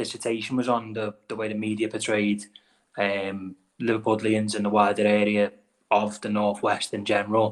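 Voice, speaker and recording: A man with a Wirral accent, fairly low in pitch, at a moderate pace. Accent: Scouse-like Wirral. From the Wirral, England. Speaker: podcast host. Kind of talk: podcast interview.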